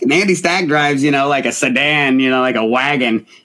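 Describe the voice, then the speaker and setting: A man is speaking at a fairly quick pace. He has an American accent. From Portland, Oregon. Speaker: rapper. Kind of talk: casual chat.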